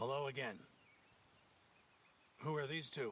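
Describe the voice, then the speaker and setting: A man puts on a raspy character voice of medium pitch, talking at a moderate pace. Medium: video game. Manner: pompous, condescending.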